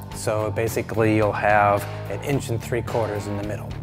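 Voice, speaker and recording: A man talks at a fairly low pitch. Clear music plays in the background. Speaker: fabrication show host. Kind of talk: tutorial. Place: workshop.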